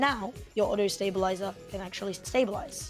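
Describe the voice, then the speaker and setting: Normal pitch movement at a medium speed over background music. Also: woman. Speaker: game tutorial maker. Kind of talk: game tutorial narration.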